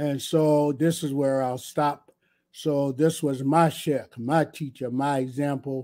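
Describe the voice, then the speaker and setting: On a very clean recording with a silent background, a man talks at a very slow pace in a fairly high, dark, mellow voice with monotone, flat intonation. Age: 70s. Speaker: imam. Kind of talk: lecture.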